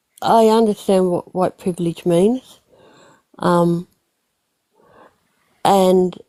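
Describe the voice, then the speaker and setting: A woman's medium-pitched voice, dark and mellow in tone, with a dry, close sound and no echo. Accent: Australian. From Australia. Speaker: livestream participant. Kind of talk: casual chat. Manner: halting.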